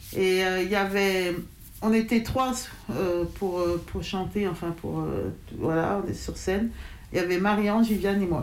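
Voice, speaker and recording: Someone speaks at a very slow pace with ordinary pitch variation, and audible room echo surrounds the voice. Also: woman. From France, Lyon area. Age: 40s. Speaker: hip-hop crew leader, association president. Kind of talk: interview testimony. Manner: halting, many fillers.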